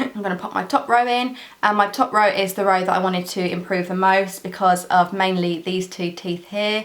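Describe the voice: A woman speaks at a moderate pace and a medium pitch, with fairly even intonation and few pauses. Room echo is audible.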